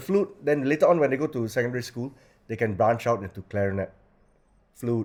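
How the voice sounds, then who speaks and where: Medium in pitch, a man speaks at a fairly quick pace with lively intonation. Long pauses break up his speech often. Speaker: school director, La Salle brother. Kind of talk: interview answer. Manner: passionate.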